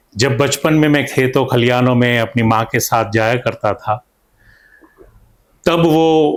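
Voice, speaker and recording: A man at a medium pitch with ordinary pitch variation. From north Gujarat, India (Mehsana district). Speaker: painter and stage actor. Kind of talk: interview.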